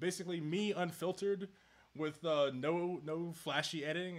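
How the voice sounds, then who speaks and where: The man's voice is fairly high in pitch, with ordinary variation. He talks at a moderate pace. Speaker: personal finance YouTuber. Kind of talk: livestream Q&A chat. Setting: home livestream with chair, mic, lights, camera. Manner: rambling, fumbling over words.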